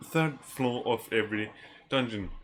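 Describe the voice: The tone is bright and sharp as the man speaks.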